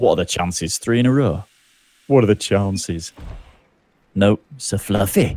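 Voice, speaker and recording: A fairly low-pitched man in a British accent, at a moderate pace with long, frequent pauses, ordinary pitch variation, and a dry sound with no echo. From England. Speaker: gaming streamer. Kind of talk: casual chat. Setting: live stream. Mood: exasperated, joking. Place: home room.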